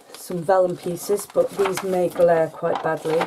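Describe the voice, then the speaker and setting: A woman speaks in a British accent. Her pitch is medium. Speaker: crafting YouTuber. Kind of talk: show-and-tell haul video. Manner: soft-spoken, can't speak up; hesitant with fillers.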